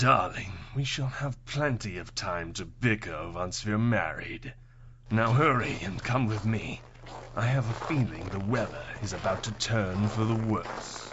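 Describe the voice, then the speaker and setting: A man does a put-on character voice at a medium pitch with ordinary pitch variation. He keeps a moderate pace over clear background noise. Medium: audio drama. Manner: silky, sardonic.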